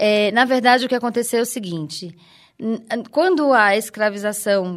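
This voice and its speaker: A woman talks in an ordinary speaking voice at a fairly high pitch and moderate pace, with ordinary pitch variation. The recording is very clean with a silent background. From Recife, Pernambuco, Brazil. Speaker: researcher, actress and dancer. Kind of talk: interview.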